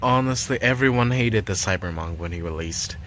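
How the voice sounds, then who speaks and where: Through audible room echo and noticeable background noise, a man speaks at a fairly low pitch with very wide pitch swings. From Chinese background. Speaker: gaming streamer. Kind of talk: casual chat. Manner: hesitant, many fillers. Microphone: built-in laptop mic.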